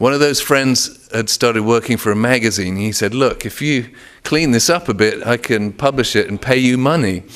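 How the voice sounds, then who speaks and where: With an English accent, a man talks at a moderate pace and medium pitch, using ordinary pitch variation. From England. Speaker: author. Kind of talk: author talk. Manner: halting, with frequent repetitions.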